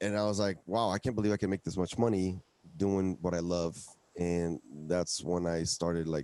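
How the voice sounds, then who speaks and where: In a Spanish accent, a man speaks at a moderate pace with a very deep, low pitch, a dark, mellow tone, fairly even intonation and very even loudness, the sound dry and close with no echo. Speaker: musician. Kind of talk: interview. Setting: live stream broadcast.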